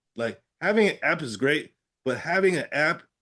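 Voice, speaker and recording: A man speaks with an American accent. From Pittsburgh area, Pennsylvania. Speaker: stroke survivor with aphasia, advocate. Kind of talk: interview. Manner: halting, with word-finding trouble and repetitions.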